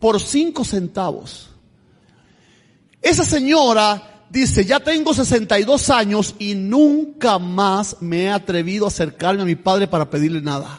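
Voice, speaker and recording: In an animated tone, a man speaks at a fairly slow pace with very wide pitch swings. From Cuba, Camagüey province. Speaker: pastor. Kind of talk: sermon.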